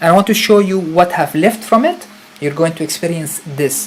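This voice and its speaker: With ordinary pitch variation, a man speaks over noticeable background noise. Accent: Arabic. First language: Arabic. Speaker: spiritual retreat leader. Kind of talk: live stream talk. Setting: live stream. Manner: animated.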